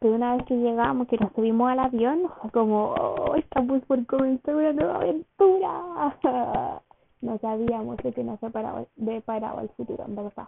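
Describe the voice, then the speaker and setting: Speaking fairly slowly, the woman has a high pitch and lively intonation. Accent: Chilean. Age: 20s. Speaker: podcaster and university student. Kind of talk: casual solo monologue.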